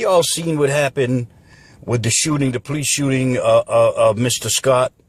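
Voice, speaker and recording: A man's somewhat breathy voice. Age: 60s. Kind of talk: political rant to camera.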